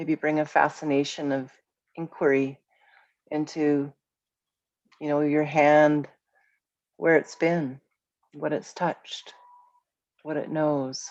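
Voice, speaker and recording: At a very slow pace, a woman with a very deep, low voice speaks in a calm, soothing tone, flat and monotone, with long, frequent pauses. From Vancouver, Canada. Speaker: guided meditation and mindfulness teacher. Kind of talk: guided meditation. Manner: calm, slow, soothing.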